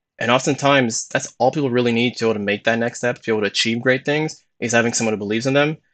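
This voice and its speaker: Talking at a very fast pace, a man mumbles his words. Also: medium pitch for a man. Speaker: motivational YouTuber. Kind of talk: live stream monologue. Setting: live stream. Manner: fast when excited; mumbles words.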